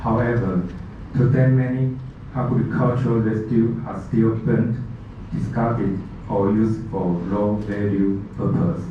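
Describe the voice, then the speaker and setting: A man with a non-native accent, medium pitch and fairly even intonation at a fairly slow pace, amid noticeable background noise and audible room echo. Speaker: machinery manufacturer representative. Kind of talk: conference presentation. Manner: halting.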